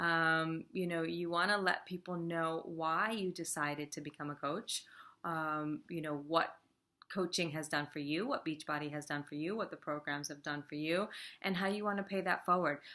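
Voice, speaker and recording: A woman with a New York accent, fairly low in pitch, bright and sharp in tone, fairly even in intonation, at a moderate pace, in a very clean recording with a silent background. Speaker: fitness business coach and team leader. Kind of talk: casual talking-head tutorial. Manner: many filler words, um and you know.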